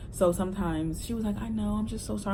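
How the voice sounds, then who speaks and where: Noticeable noise fills the background. The speaker is a woman. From Delaware. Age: 20s. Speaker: social worker. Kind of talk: casual talk to camera.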